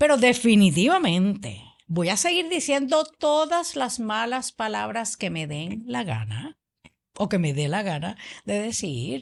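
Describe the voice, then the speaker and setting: A woman's fairly high voice with very wide pitch swings, at a fairly slow pace against a quiet background. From Puerto Rico. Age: 60s. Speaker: political podcast co-host. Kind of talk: political discussion podcast.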